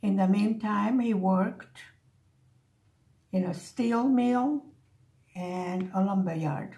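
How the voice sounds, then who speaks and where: A woman with an American accent speaks at a very slow pace and a medium pitch. Her long, frequent pauses ring with audible room echo. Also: ordinary pitch variation. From Buffalo, New York, with early childhood in Hungary. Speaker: crafting vlogger. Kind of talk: casual chat.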